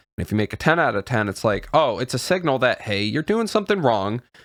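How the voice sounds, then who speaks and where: On a very clean recording with a silent background, a man's medium-pitched voice makes very wide pitch swings, the sound dry and close with no echo. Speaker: YouTuber. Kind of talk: casual talk to camera. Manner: halting, stumbling over words.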